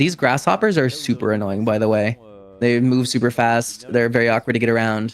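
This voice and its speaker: With music in the background, a man at a medium pitch speaks in an animated tone at a fairly quick pace, his loudness very even. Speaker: speedrun commentator. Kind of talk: live commentary.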